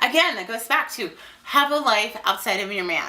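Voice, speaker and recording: Over noticeable background noise, a woman with a high pitch uses a raised, projected voice at a moderate pace, her pitch swinging very widely. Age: 30s. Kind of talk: casual talk to camera. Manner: rambling, informal.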